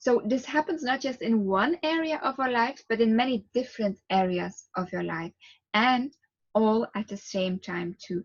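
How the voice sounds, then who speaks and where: A woman speaks in a Flemish Belgian accent at a fairly high pitch, her intonation lively and her voice somewhat breathy. The pace is moderate, and the sound is dry and close with no echo. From Belgium. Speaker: relaxation therapist. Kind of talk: guided relaxation talk. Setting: video to camera.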